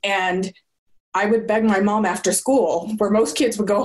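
A woman with an American accent speaks in a normal speaking voice at medium pitch. Her pace is moderate, with ordinary pitch variation. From Southern California. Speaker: business consultant. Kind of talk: interview.

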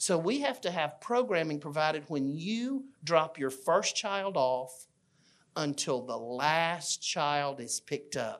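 Against a quiet background, a man with an Alabama accent speaks at a very slow pace, his fairly high pitch rising and falling with lively intonation. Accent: Southern US (Alabama). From US South (Fayette, Alabama). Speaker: children's minister. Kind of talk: church class talk.

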